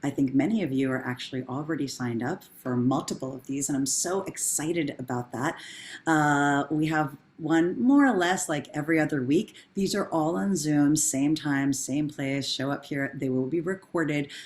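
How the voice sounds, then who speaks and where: A woman speaks in a warm tone at a very deep, low pitch. She keeps a moderate pace with ordinary pitch variation. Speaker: professor and workshop facilitator. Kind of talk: online workshop facilitation. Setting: video call. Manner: warm, encouraging.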